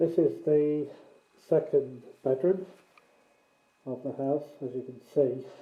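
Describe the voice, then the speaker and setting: Very slow speech from a fairly high-pitched man, with long, frequent pauses, fairly even intonation, and big swings in loudness. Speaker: tenant making a complaint video. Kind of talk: walkthrough video narration. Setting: indoors, in a rented house.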